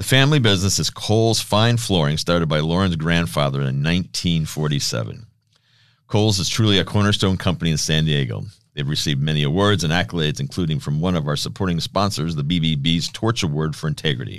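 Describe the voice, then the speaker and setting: In a quiet background, a man with a very deep, low pitch talks very fast with lively intonation. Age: 60s. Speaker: podcast host. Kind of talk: interview.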